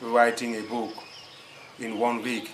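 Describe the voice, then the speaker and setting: Amid noticeable background noise and audible room echo, a man with a non-native accent speaks at medium pitch. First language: French. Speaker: writing coach. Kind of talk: tutorial. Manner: halting, with many repetitions.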